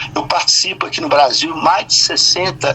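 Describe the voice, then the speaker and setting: The pace is fairly slow as a man talks. Behind him runs noticeable noise. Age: 60s. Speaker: poet. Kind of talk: interview.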